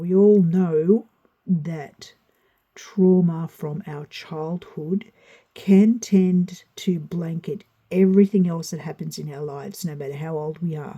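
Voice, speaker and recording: A woman talks at a very slow pace in a fairly low, somewhat breathy voice with a dark, mellow tone, fairly even intonation, and big swings in loudness. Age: 60s. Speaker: tarot reader. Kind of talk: spoken tutorial.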